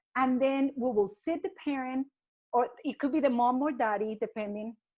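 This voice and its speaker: At a moderate pace, a woman with a high voice speaks with lively intonation. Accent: Spanish. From Colombia. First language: Spanish. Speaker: early childhood educator. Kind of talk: casual interview.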